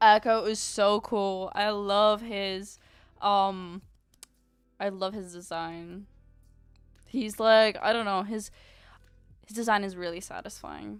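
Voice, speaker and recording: With music in the background, a woman speaks at a medium pitch in a monotone, flat intonation, very slowly and with long, frequent pauses, her loudness swinging widely. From Ukraine. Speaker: VTuber artist streamer. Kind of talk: casual live stream chat. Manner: casual, chatty.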